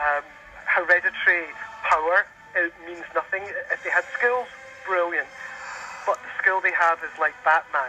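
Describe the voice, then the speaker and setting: A man's high-pitched voice at a moderate pace, with ordinary pitch variation, long, frequent pauses and noticeable background noise. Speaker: caller. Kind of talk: radio interview.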